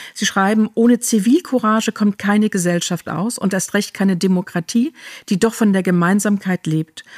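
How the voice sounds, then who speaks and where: At a moderate pace, a woman with a plain, everyday voice speaks at a medium pitch with ordinary pitch variation, the sound dry and close with no echo. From Germany. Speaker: podcast host. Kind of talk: interview conversation.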